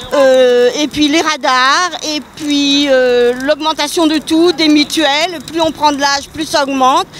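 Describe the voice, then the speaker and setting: A woman with a high-pitched voice speaks at a very slow pace. Her intonation is fairly even, and there is noticeable background noise. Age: 60s. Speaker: retiree protester. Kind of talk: street interview.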